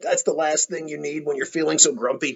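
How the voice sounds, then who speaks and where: A man's put-on character voice, raspy and fairly high-pitched, at a fairly quick pace. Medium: read story.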